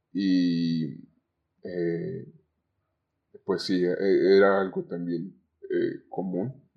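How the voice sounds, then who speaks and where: A man talks at a very slow pace, with long pauses coming often. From Zamora, Michoacán, Mexico. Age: 20s. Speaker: communication student, call center agent. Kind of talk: podcast interview. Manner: halting.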